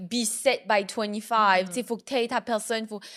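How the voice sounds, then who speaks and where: A woman with an Acadian accent talks at a fairly slow pace and a fairly high pitch, with fairly even intonation. The recording is very clean with a silent background. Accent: New Brunswick Acadian French. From New Brunswick, Canada. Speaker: podcast host. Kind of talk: casual podcast conversation.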